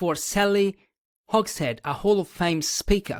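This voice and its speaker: Speaking rather slowly, a man talks with a non-native accent. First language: not English. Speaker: podcast host. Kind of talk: podcast interview. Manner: hesitant, many fillers.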